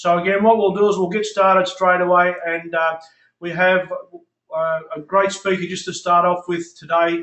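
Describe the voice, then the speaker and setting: Delivered at a moderate pace in an Australian accent, the speech is monotone, with flat intonation. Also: man, high pitch for a man. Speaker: network marketing leader, call host. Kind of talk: conference call hosting. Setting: phone conference call.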